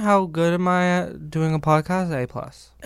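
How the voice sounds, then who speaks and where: A man with an American accent speaks in a high pitch at a very slow pace. The recording is very clean, with a silent background. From California. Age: 30s. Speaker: YouTuber. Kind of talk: casual chat.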